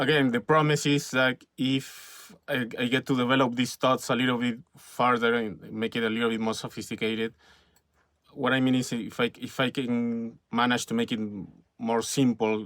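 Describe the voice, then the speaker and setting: With a Spanish accent, a man speaks at medium pitch in a monotone, flat intonation on a very clean recording with a silent background. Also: moderate pace. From Peru. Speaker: filmmaker and YouTuber. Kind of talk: casual vlog monologue. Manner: halting, many fillers and repetitions.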